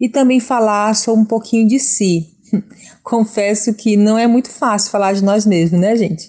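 The speaker is a woman with a fairly high pitch. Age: 40s. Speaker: university student and seamstress. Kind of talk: testimony. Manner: hesitant.

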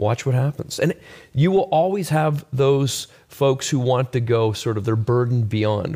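A man with a medium pitch speaks at a moderate pace with lively intonation and a dark, mellow, somewhat breathy tone. The recording is very clean with a silent background. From Canada, Halifax, Nova Scotia. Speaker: evangelism ministry leader. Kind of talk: casual chat.

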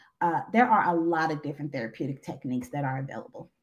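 A woman is speaking. She has a Southern US accent. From Arkansas. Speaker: therapist and social worker. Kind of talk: interview.

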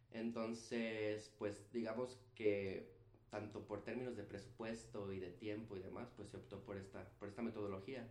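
A man's fairly low voice at a fairly slow pace, with fairly even intonation and audible room echo. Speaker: physician and public health specialist. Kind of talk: casual interview.

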